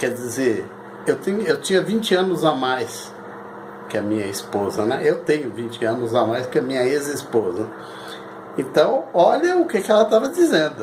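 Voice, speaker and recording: The speaker's pitch swings very widely, broken by long, frequent pauses, over noticeable background noise. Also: man, fairly high pitch for a man, moderate pace. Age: 60s. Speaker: lawyer and anti-cult activist. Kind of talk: personal testimony monologue. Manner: halting, repetitive.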